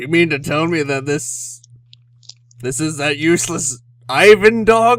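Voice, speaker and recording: A man puts on a character voice, fairly high in pitch. He moves at a fairly slow pace with long, frequent pauses. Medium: actual play. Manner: blunt, mockingly cheerful.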